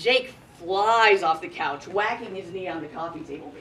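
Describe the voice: What we hear is plain reading aloud.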